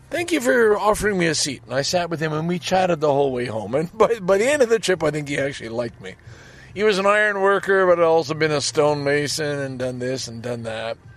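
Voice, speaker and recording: Over noticeable background noise, a man with a Canadian accent talks very fast at a fairly high pitch, his voice making very wide pitch swings. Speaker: podcast host. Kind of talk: casual solo monologue. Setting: in a parked car.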